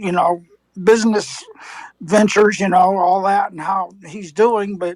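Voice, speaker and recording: This woman talks at a fairly slow pace, her pitch medium. Her intonation is monotone and flat. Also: big swings in loudness. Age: 60s. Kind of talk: heated debate.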